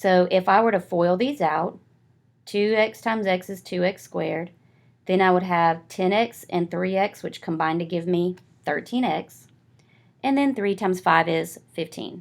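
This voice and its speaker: An unremarkable speaking voice from a woman at medium pitch, with ordinary pitch variation and a fairly slow pace, on a very clean recording with a silent background. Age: 40s. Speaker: math teacher. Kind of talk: tutorial. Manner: casual, with fillers.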